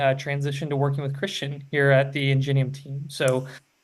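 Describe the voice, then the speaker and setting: A man talks very fast with an American accent and monotone, flat intonation. Audible room echo surrounds his voice. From rural Indiana, US Midwest. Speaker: telehealth program consultant. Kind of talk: webinar presentation. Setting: live webinar.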